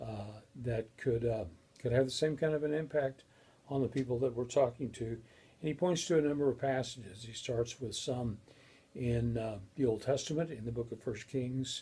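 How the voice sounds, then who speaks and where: A man's medium-pitched, somewhat breathy voice with a dark, mellow tone, ordinary pitch variation and a moderate pace. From Colorado, US. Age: 60s. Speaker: professor. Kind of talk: lecture. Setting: recorded video. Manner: halting.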